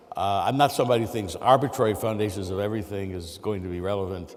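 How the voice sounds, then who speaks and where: A man with a fairly low pitch talks at a fairly quick pace. Audible room echo surrounds him. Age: 60s. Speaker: mathematics professor. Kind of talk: lecture. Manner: halting, many fillers.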